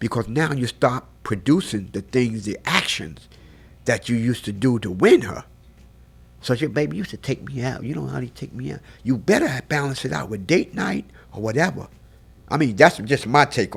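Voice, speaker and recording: Vocal fry runs through a man's medium-pitched voice as he speaks at a moderate pace. His tone is animated, with very wide pitch swings. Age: 60s. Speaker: photographer. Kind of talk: casual chat.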